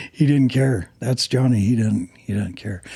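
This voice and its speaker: This very clean recording has a silent background. A man speaks in a dark, mellow tone that is somewhat breathy. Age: 70s. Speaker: drag racer and transmission builder. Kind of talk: casual chat.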